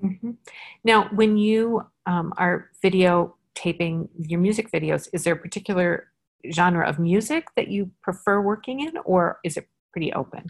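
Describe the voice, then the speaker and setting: A woman's somewhat breathy, medium-pitched voice at a moderate pace with ordinary pitch variation. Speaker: podcast host and company founder. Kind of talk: casual interview.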